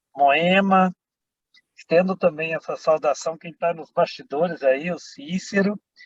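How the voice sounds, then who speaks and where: Speaking very slowly, a man with a high pitch is captured in a dry, close sound with no echo. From Brazil, Minas Gerais. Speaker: politician and priest. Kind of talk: panel greeting.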